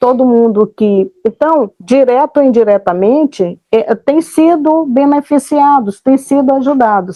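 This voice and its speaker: A high-pitched woman at a fairly slow pace, with hardly any pauses, very even loudness and ordinary pitch variation. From Brazil, Alcântara, Maranhão. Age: 60s. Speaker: retiring space center employee. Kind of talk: interview. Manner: halting.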